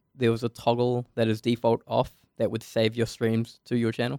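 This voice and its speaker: A man with a New Zealand accent and monotone, flat intonation, in a dry, close sound with no echo. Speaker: game developer. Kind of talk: casual chat.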